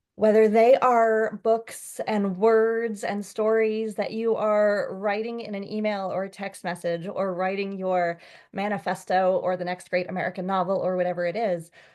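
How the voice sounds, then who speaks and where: Speaking at a moderate pace, a woman of medium pitch keeps a monotone, flat intonation. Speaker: author. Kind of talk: author talk.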